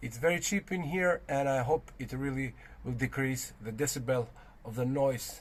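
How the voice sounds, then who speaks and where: Somewhat breathy speech in an Albanian accent comes at a fairly slow pace with ordinary pitch variation. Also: man. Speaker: car restoration vlogger. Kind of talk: casual vlog. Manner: halting.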